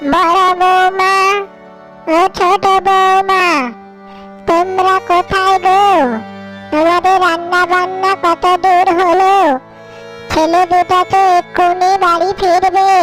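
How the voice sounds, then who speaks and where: In a cartoonish character voice, a woman speaks at an extremely high pitch and a very slow pace, her intonation monotone and flat and her loudness very even, with clear music in the background. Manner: gentle, meek.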